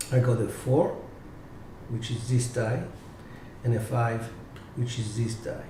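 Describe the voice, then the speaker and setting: With audible room echo and noticeable background noise, the speaker talks at a fairly slow pace in a monotone, flat intonation, leaving long, frequent pauses. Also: man, medium pitch for a man. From Cyprus. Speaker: dice coach. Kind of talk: live tutorial. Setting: live stream.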